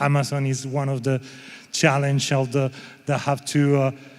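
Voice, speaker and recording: A man is speaking. He talks with a Spanish accent. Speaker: panel moderator. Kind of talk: panel discussion. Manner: halting.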